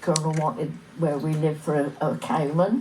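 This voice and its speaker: A woman with a fairly low pitch speaks at a fairly slow pace, with audible room echo and noticeable background noise. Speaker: village elder recalling local history. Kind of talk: oral history reminiscence.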